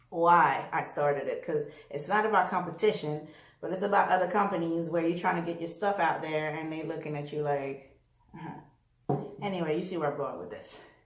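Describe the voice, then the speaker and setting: A woman at a fairly quick pace, with fairly even intonation and audible room echo. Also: fairly low pitch for a woman. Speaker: fashion designer and former nurse vlogger. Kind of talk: casual vlog monologue. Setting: living room at home. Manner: fast.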